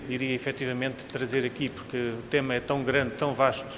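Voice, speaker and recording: With a European Portuguese accent, a man speaks at a medium pitch and a moderate pace, amid audible room echo and noticeable background noise. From Portugal. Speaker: cardiologist, invited speaker. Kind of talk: lecture. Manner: formal.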